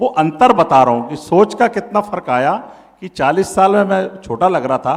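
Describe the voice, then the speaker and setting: A man with a high-pitched voice and lively intonation speaks at a moderate pace. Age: 60s. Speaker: party district president. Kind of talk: interview. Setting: event with audience.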